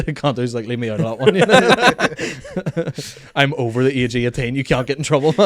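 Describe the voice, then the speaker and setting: The speech runs at a fairly quick pace with ordinary pitch variation against noticeable background noise. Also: man, medium pitch for a man. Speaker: podcast host and comedian. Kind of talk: casual chat. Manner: clear enunciation.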